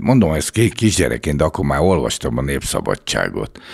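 With lively intonation and vocal fry, a man at a very deep, low pitch talks at a moderate pace against a quiet background. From Hungary, Budapest; Hungary. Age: 70s. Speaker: former bodyguard and model agency owner; podcast guest. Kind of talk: interview. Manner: casual. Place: studio. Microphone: studio mic.

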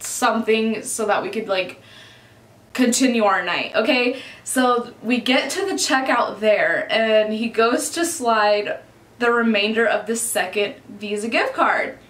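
Rather slow speech from a woman, echoing audibly off the room. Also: ordinary pitch variation. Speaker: vlogger. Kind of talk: casual storytime vlog chat. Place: home room.

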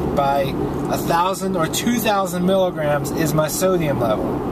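A man at a fairly slow pace with ordinary pitch variation, amid loud background noise. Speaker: weight loss vlogger. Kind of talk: casual vlog chat. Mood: frustrated, venting. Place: car. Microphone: phone near.

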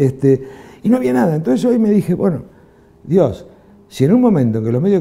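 In an Argentine accent, a man with a dark, mellow tone speaks at a fairly quick pace with very wide pitch swings. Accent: Rioplatense Argentine Spanish. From Argentina. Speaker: film director; interviewee. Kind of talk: interview. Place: studio. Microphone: lapel.

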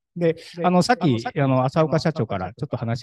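Noticeable background noise sits under a man talking at a very fast pace, the sound dry with no echo. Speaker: brick craftsman. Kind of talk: talk at an awards event. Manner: casual, halting. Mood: relaxed, smiling. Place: hall. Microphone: handheld.

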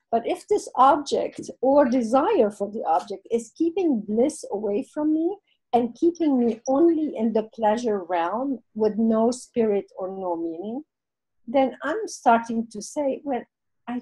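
In a French accent, the speaker has a dark, mellow tone, a fairly slow pace and lively intonation. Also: woman. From Lebanon. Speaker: guest speaker. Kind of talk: interview answer. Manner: reflective, conversational.

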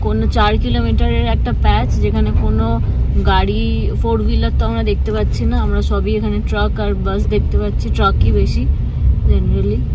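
The sound is dry with no echo, and loud background noise runs through it. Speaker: travel vlogger. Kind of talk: casual vlog chat. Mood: annoyed at bad road. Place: car. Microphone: phone near.

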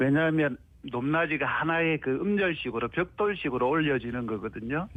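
Speaking at a moderate pace, a man with a fairly high pitch and lively intonation has an unremarkable speaking voice. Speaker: university professor of Korean language education. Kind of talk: radio interview answer. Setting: phone line.

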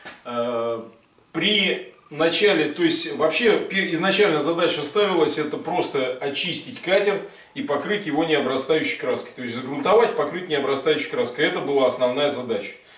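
Audible room echo around a man's moderate pace. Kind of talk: explanatory talk to camera. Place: workshop. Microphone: camera far.

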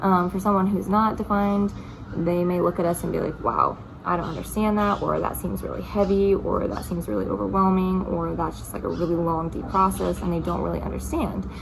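The woman talks at a fairly quick pace. Noticeable background noise is present. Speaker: spiritual topic vlogger. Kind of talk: casual explanatory vlog talk. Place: home room. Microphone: phone near.

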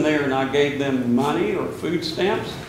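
A man talks at a moderate pace in a room with audible echo and light background noise. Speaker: priest preaching. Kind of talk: sermon. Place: church.

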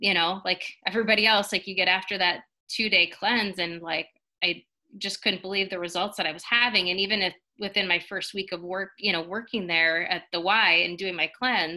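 This woman talks at a fairly quick pace with fairly even intonation. Behind her, the background stays quiet. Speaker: guest. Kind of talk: personal testimonial talk. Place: home room. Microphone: webcam.

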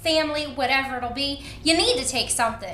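A woman projects a raised voice at a moderate pace amid audible room echo. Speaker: cooking show host. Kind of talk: tutorial. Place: kitchen.

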